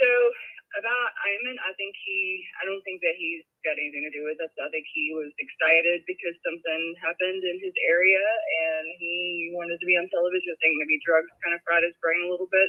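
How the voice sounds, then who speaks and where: A woman speaks with a Southern US accent. Her pitch is fairly low. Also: ordinary pitch variation, fairly quick pace. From US South. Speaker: caller. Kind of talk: call-in discussion. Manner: halting.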